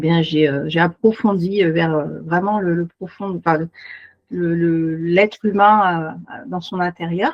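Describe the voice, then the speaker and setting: A woman talks very slowly, her fairly low voice held to fairly even intonation. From Paris region, France. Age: 40s. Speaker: beautician and naturopath. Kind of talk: self-presentation in online meeting. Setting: video call. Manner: hesitant, many fillers.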